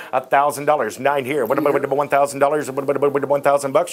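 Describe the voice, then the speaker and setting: Over light background noise, a man talks with hardly any pauses in a fairly high, monotone voice with flat intonation. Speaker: auctioneer. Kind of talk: live auction calling and vlog narration. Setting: warehouse auction floor with bidders. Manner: fast talker. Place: shop. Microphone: lapel.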